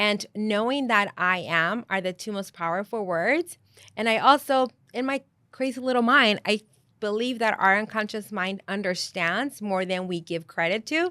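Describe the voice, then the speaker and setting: With a bright, sharp tone, a woman speaks at a fairly high pitch and moderate pace with ordinary pitch variation, the sound dry and close with no echo on a very clean recording with a silent background. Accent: Spanish. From Mexico. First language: Spanish. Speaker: life and business coach. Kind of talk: podcast interview.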